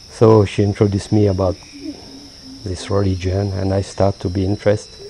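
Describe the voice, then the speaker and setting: The speaker moves at a fairly quick pace over noticeable background noise. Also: man, fairly low pitch for a man. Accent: French. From France. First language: French. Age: 50s. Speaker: payroll accountant, Buddhist practitioner. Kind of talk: interview. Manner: halting.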